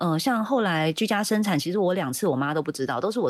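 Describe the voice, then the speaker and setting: Her delivery very fast, a woman speaks with lively intonation. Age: 40s. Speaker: former NGO chair, birth reform advocate. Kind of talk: casual chat.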